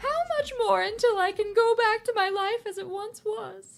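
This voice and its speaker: Putting on a character voice, a woman speaks at an extremely high pitch and a moderate pace with ordinary pitch variation. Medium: audio drama. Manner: timid, hesitant.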